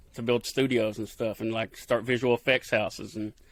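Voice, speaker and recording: Recorded very cleanly with a silent background and a dry, close sound with no echo, a man with a medium pitch and an Appalachian accent talks at a fairly quick pace. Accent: Appalachian rural Southern. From Kentucky. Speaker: TV field producer. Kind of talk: podcast interview answer. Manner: casual, folksy.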